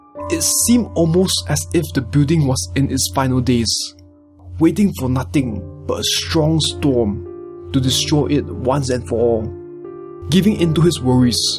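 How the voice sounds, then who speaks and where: Very wide pitch swings from a man at medium pitch, a fairly slow pace, and music in the background. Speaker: creepypasta narrator. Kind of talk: horror story reading.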